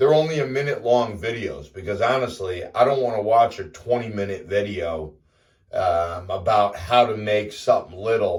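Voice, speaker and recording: With an American accent, a man speaks in a somewhat breathy, fairly low voice at a moderate pace with ordinary pitch variation. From US Northeast. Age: 50s. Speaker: fitness vlogger. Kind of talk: casual vlog monologue. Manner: casual, with fillers.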